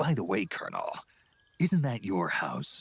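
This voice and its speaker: A man's put-on character voice at a medium pitch and moderate pace. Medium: video game. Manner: gruff, laconic.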